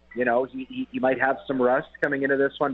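A man with a Canadian accent speaks at a fairly quick pace, his pitch sitting in the medium range. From Winnipeg, Manitoba, Canada. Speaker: football journalist. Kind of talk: radio sports interview.

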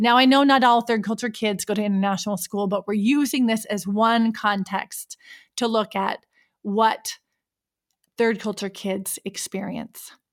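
An unremarkable speaking voice from a woman with an American accent, fairly high in pitch, at a fairly slow pace with fairly even intonation. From United States. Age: 40s. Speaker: podcast host and intercultural coach. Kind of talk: interview podcast.

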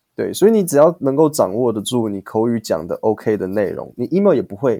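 In a Taiwanese accent, the speaker uses very wide pitch swings and a dark, mellow tone at a moderate pace. The sound is dry and close, with no echo. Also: man. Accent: Taiwanese Mandarin. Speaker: English teacher podcaster. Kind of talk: casual chat interview.

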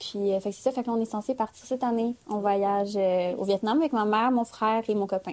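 Using an ordinary speaking voice, a woman talks at a fairly quick pace with fairly high pitch, fairly even intonation and big swings in loudness. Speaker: granddaughter of immigrant. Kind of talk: casual chat.

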